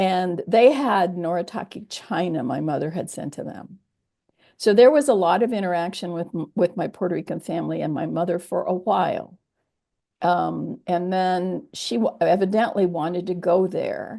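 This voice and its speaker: A woman's dark, mellow voice at medium pitch, moderate pace and ordinary pitch variation, over a quiet background. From US military bases (Kansas, Germany, California). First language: Japanese. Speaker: theologian. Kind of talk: oral history interview. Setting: video call.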